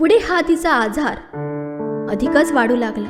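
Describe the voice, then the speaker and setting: Music can be heard behind a woman as she talks. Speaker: storyteller. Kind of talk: suspense story narration.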